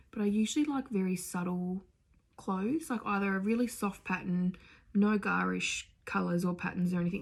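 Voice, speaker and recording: At a moderate pace, a woman speaks in a somewhat breathy voice of medium pitch. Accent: Australian. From Australia. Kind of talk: casual talk to camera.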